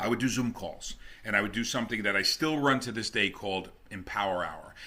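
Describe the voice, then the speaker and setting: In a New Jersey accent, a man speaks at a fairly quick pace with a bright, sharp tone. His pitch is fairly low, with ordinary pitch variation. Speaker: network marketing top earner. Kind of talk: interview.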